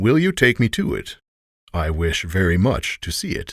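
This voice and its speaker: A man growls in a booming put-on character voice at a medium pitch, with very wide pitch swings and a moderate pace, recorded dry and close with no echo against a silent background on a very clean recording. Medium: read story. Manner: commanding, loud.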